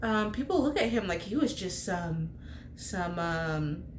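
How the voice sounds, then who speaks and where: A woman speaks in an animated tone at a fairly slow pace. Noticeable background noise and audible room echo surround her. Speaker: bible teacher. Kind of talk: bible study talk.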